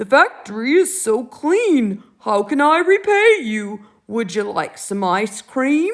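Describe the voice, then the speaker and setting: In a put-on character voice, the speaker moves at a fairly slow pace with hardly any pauses and very wide pitch swings. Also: woman, high pitch for a woman. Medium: read story. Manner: fussy, lecturing.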